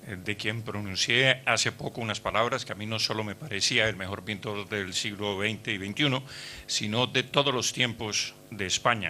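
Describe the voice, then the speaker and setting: Using fairly even intonation, a man with a fairly low pitch speaks at a moderate pace with hardly any pauses. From Colombia. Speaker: historian and former politician. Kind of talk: speech at book launch. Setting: hotel event hall with audience. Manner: halting with many fillers.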